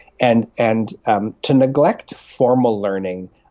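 This man has an ordinary speaking voice, with a Canadian accent, medium pitch and ordinary pitch variation. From Canadian Prairies (Winnipeg, Regina). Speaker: pastor. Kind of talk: interview testimony.

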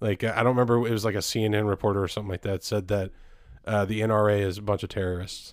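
Over a silent background in a very clean recording, a man talks very fast in a fairly low, monotone, flat voice. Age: 20s. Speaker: podcast co-host. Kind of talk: casual chat.

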